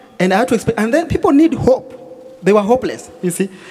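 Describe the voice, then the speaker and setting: The man speaking has lively intonation. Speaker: guest. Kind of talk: interview answer. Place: stage. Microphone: handheld.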